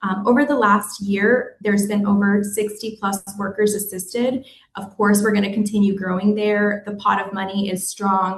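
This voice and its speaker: A woman speaks at a medium pitch in a somewhat breathy voice with hardly any pauses. Her intonation is monotone and flat. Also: moderate pace. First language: Spanish. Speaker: destination organization staffer running hospitality worker relief fund. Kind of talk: webinar presentation. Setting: virtual forum.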